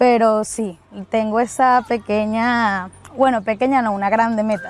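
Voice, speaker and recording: Speaking at a fairly slow pace, a woman has a fairly high pitch and ordinary pitch variation, with a dry, close sound and no echo. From Venezuela. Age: 20s. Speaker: student. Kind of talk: interview. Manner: hesitant with fillers.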